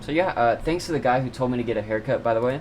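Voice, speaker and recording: A male speaker holds a medium pitch and fairly even intonation while noticeable background noise runs underneath. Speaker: self-improvement YouTuber. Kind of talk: casual talk to camera. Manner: stammering, hesitant.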